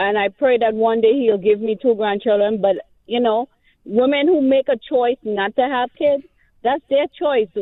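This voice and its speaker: Speaking with a Trinidadian accent, a woman uses a fairly high pitch, ordinary pitch variation and a moderate pace. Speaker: caller. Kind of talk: radio call-in.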